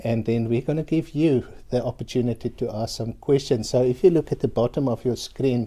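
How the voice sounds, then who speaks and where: With a South African accent, a man speaks at a fairly quick pace with hardly any pauses, a dark, mellow tone, medium pitch and fairly even intonation. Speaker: university lecturer. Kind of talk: live webinar presentation. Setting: online webinar.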